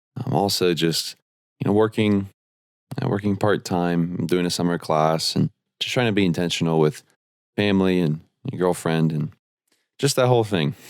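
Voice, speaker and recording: On a very clean recording with a silent background, a man with a very deep, low pitch talks at a moderate pace, using ordinary pitch variation and long, frequent pauses. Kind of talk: casual chat.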